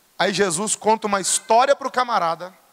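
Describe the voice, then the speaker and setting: Raising and projecting his voice, a man speaks with lively intonation and a bright, sharp tone in a dry, close sound with no echo. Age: 30s. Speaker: pastor. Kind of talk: sermon. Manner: animated.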